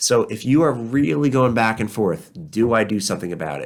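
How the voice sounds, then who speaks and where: Using vocal fry and lively intonation, a man speaks fairly quickly at a medium pitch in a very clean recording with a silent background. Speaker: personal injury lawyer. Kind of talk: legal explainer monologue. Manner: fast.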